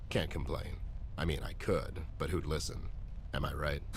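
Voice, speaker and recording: A man performs a cartoonish character voice at a moderate pace. Clear background noise runs underneath. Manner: dry, world-weary.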